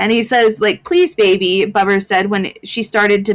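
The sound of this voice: Here is an unforced reading voice.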